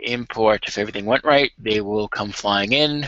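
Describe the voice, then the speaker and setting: A man at a moderate pace, medium pitch, fairly even intonation, and a plain, everyday voice. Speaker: game modding tutorial streamer. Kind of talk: tutorial. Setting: live video stream. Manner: casual.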